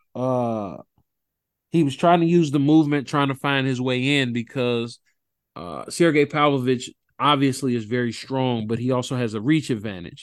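Against a quiet background, a man with a medium-pitched voice talks at a moderate pace with ordinary pitch variation. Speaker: podcast host. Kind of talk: casual sports podcast chat. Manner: animated, conversational.

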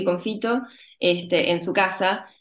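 A woman speaks very slowly at medium pitch, with fairly even intonation. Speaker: actress. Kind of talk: interview.

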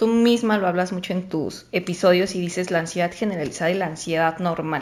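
Here is an ordinary speaking voice from a woman. She talks at a fairly quick pace with ordinary pitch variation. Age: 20s. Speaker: podcast guest sharing anxiety experience. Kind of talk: casual chat.

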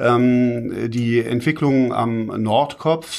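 The recording is very clean and the background silent. A man's voice sits at a medium pitch. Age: 50s. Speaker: urban development consultant, managing partner. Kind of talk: interview. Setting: studio, sitting face to face. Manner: hesitant, many filler sounds.

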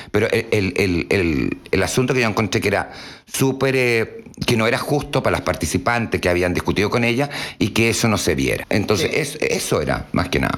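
A man's medium-pitched voice with a Chilean accent, fairly quick pace, lively intonation and very even loudness. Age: 50s. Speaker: drag performer. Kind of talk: casual interview.

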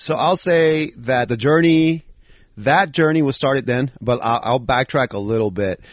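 A man talks with an American accent at a medium pitch. It is an ordinary speaking voice. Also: ordinary pitch variation, moderate pace, very even loudness. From Bronx, New York. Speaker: former professional BMX rider. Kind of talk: casual interview. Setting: home basement.

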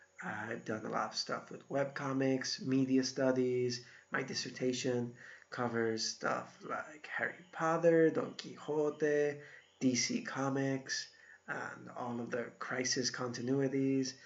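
Speaking at a very slow pace with fairly even intonation, a man with an American accent holds a medium pitch. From Iowa, US Midwest. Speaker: university instructor. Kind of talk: recorded lecture. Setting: solo recorded video. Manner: casual, conversational.

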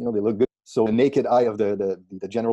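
A man with a Quebec accent and a dark, mellow tone speaks at a medium pitch, recorded with a dry, close sound and no echo. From Quebec, Canada (Granby / Saint-Césaire area). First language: French. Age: 40s. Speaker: strength and conditioning coach. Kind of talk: casual interview conversation. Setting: Skype video call.

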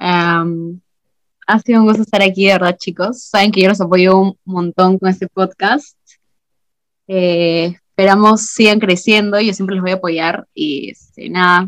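A woman with a plain, everyday voice and medium pitch speaks fairly slowly with fairly even intonation, the sound dry and close with no echo. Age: 20s. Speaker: student. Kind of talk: casual chat.

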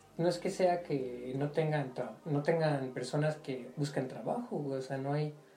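A man with a fairly high pitch talks at a fairly slow pace with ordinary pitch variation. Audible room echo and noticeable background noise are present. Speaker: podcast host. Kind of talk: casual chat.

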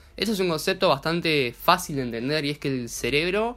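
A man's bright, sharp voice at a very fast pace, with lively intonation, in a very clean recording with a silent background. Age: 20s. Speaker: entrepreneur and coaching student. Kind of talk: casual chat.

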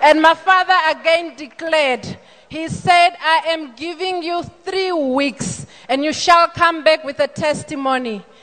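Noticeable background noise sits under speech delivered at a fairly slow pace with ordinary pitch variation. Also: woman, extremely high pitch for a woman. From Namibia. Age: 40s. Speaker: church member giving testimony. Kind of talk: testimony. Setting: church service.

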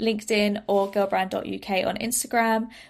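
A woman's fairly slow, monotone, flat delivery at medium pitch in a British accent, in a very clean recording with a silent background. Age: 20s. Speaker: personal development entrepreneur. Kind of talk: interview.

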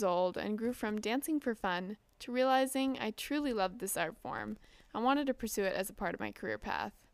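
On a very clean recording with a silent background, a woman speaks at a fairly quick pace with an American accent. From US, Southern California. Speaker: podcast host, ballet dancer. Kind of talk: solo podcast introduction.

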